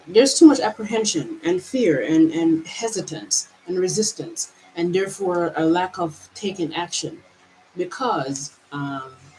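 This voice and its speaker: Over noticeable background noise, a woman talks at a fairly slow pace with lively intonation. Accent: American. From Jamaica. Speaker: mindset vlogger. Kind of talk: personal monologue. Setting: on camera, traveling. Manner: halting, many repetitions.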